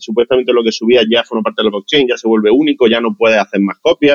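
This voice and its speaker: A man talks at a very fast pace. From Andalusia, Motril. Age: 40s. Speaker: digital artist. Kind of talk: interview.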